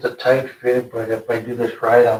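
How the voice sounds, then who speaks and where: The intonation is monotone and flat. The voice sounds somewhat breathy. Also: man. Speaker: mechanic restoring trucks. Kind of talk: casual project update. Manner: fast.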